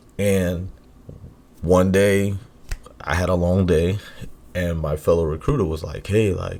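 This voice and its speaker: This man's pitch is very deep and low. He speaks at a fairly slow pace with long, frequent pauses. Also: fairly even intonation. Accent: American. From New York City. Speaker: podcast co-host. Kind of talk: casual chat.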